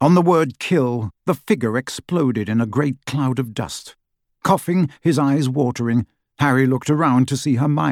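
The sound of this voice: With a quiet background, the reading voice sounds unforced.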